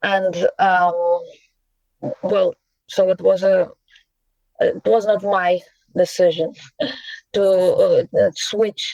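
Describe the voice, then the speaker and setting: Recorded with a dry, close sound and no echo, a woman with a Russian accent speaks at a very slow pace. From Russia, Saint Petersburg. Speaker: poet and translator. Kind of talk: interview. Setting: podcast. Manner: halting, many fillers.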